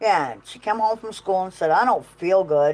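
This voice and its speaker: A woman's a normal speaking voice at medium pitch and a moderate pace, with lively intonation. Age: 50s. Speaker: farmer and livestreamer. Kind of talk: casual chat.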